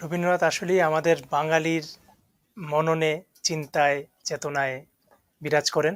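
A man with a fairly high pitch speaks in monotone, flat intonation. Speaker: talk show host. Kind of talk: interview. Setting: studio.

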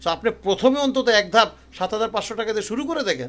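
The man's extremely high pitch comes with lively intonation. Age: 50s. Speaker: Chinese language teacher. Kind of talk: online language lesson with sales pitch. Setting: at home by room window.

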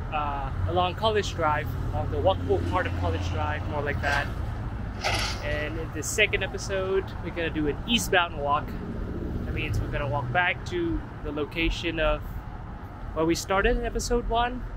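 Long, frequent pauses at a moderate pace, dry sound with no echo, and loud background noise. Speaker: walking tour host. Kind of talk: casual vlog commentary. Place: street. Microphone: phone near.

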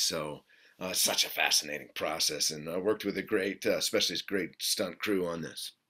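A man speaks at a fairly quick pace in a fairly low pitch, with ordinary pitch variation. His tone is bright and sharp against a quiet background. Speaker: actor interviewee. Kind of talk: interview answer. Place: home room.

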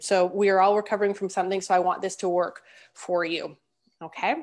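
The intonation is monotone and flat. The background is quiet. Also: woman. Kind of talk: webinar presentation. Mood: warm, encouraging. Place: home room. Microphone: earbuds.

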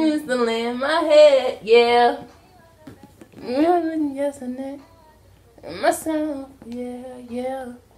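A high-pitched woman with an American accent, very slow, with fairly even intonation and long, frequent pauses over background music. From Baltimore, USA. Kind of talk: casual vlog talk to camera, playful banter with partner. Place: home room. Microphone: phone near.

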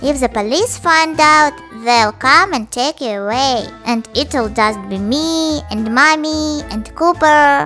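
A female-sounding, cartoonish character voice pitched high for a woman. She speaks at a fairly slow pace over clear music in the background. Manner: weary, deadpan.

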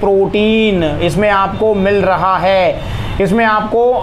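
Light background noise sits under the speech. The intonation is monotone and flat. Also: man. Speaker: presenter. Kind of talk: product review talk. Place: shop.

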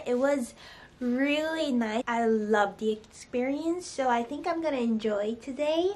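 Speaking at a high pitch with ordinary pitch variation, a woman goes at a fairly slow pace. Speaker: vlogger. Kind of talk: casual vlog chat. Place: home room. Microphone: phone near.

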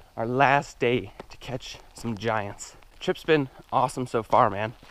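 The voice is heard dry with no echo, its intonation fairly even. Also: man. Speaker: fishing vlogger. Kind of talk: casual vlog chat. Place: forest. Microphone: phone near.

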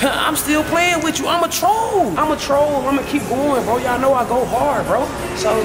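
Someone speaks at a moderate pace. Clear music plays in the background. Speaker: vlogger. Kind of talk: casual vlog chat. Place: shop. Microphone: phone near.

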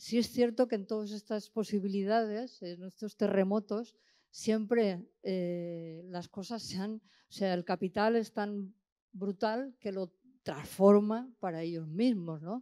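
A woman with a dark, mellow tone speaks at a very slow pace, with ordinary pitch variation and big swings in loudness, over a quiet background. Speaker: audience member. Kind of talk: question from audience. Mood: reflective, engaged. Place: hall. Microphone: handheld.

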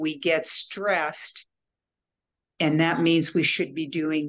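Against a quiet background, the delivery is very slow. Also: woman. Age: 70s. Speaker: coach, former social worker. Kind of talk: interview answer. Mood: reflective, slightly self-critical. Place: home room. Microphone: video call.

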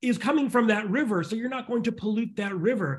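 Speaking at a fairly quick pace is a man. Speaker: futurist and author; guest. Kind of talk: interview conversation; interview answer. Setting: video call. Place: home room. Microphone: video call.

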